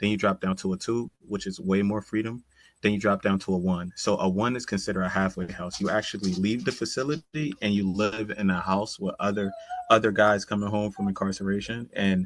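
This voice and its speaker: In an American accent, a man with a plain, everyday voice speaks at a fairly low pitch with fairly even intonation. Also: fairly quick pace. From Connecticut (Bridgeport). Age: 30s. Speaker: community program manager. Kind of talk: podcast interview. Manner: casual, conversational with fillers.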